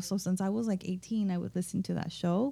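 Using an American accent, a woman speaks in a dark, mellow tone with fairly even intonation. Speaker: podcast co-host and doctoral scholar. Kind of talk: casual roundtable chat. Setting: in-person group recording in an office.

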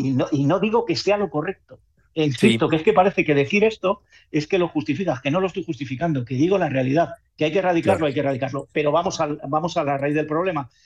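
Rattling along at a very fast pace, a man with a fairly high pitch speaks with ordinary pitch variation. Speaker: football correspondent. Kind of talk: radio sports discussion. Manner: animated.

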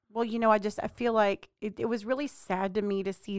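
A woman with an American accent uses a normal speaking voice at a fairly quick pace with fairly even intonation. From Texas. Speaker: podcast co-host. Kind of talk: casual chat.

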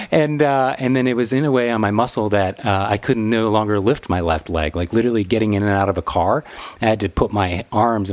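This man has an unremarkable speaking voice, fairly low in pitch with ordinary pitch variation. He talks at a fairly quick pace. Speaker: wedding photographer and podcast host. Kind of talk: casual chat.

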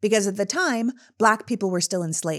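With an unremarkable speaking voice, a woman talks at a fairly quick pace, her medium pitch carried by lively intonation. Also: very clean recording, silent background. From Canada. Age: 40s. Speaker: political podcast host. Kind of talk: scripted monologue.

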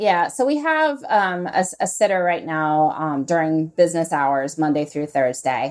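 On a very clean recording with a silent background, a woman with a fairly low pitch and a plain, everyday voice talks at a moderate pace with ordinary pitch variation and hardly any pauses. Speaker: author and podcaster. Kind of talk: casual interview conversation.

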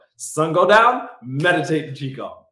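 Speaking with an American accent, a man goes at a fairly slow pace with very wide pitch swings. Audible room echo surrounds his voice. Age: 40s. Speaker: actor and comedian living with MS, YouTuber. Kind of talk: casual interview.

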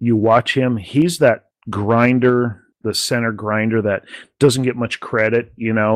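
A man speaks fairly slowly at medium pitch with a plain, everyday voice. His intonation stays fairly even. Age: 40s. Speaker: sports podcast host. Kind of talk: casual chat.

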